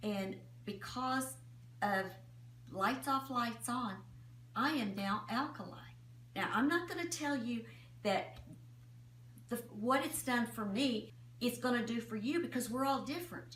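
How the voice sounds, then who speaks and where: A woman talks at a fairly slow pace with long, frequent pauses. The room echo is audible and background noise is noticeable. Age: 70s. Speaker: customer giving product testimonial. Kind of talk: testimony.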